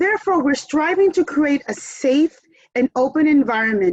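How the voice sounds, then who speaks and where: With a Spanish accent, a woman speaks at a moderate pace, her pitch swinging very widely, in a dry, close sound with no echo. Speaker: event moderator. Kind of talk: speech to online audience. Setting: video call.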